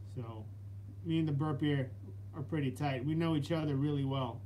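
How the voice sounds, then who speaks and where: A dark, mellow, somewhat breathy tone at a moderate pace, with ordinary pitch variation and light background noise. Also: man. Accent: American. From New York City (Brooklyn); New York City. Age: 30s. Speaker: fitness channel host, Marine veteran; fitness vlogger. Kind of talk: live stream Q&A chat. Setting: live stream. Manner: halting, repetitive. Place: home room. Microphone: phone near.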